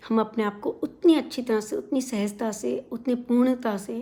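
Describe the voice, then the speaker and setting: In a Punjabi accent, a woman speaks with a fairly high pitch, a dark, mellow tone, a somewhat breathy quality and fairly even intonation. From India, outside Punjab. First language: Punjabi (speaking Hindi). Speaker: vlogger. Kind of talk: casual talk to camera. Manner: hesitant fillers.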